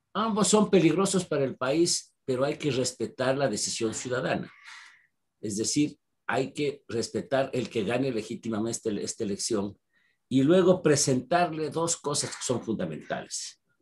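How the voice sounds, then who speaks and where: Against a quiet background, a man in a somewhat breathy voice speaks at a moderate pace with very wide pitch swings. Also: medium pitch for a man. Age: 70s. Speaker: historian and political analyst. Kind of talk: interview.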